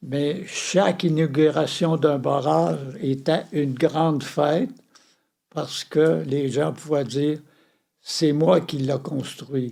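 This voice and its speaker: A man's fairly high pitch and dark, mellow tone at a very slow pace, with ordinary pitch variation. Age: 90s. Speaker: retired journalist and reporter. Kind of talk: interview answer.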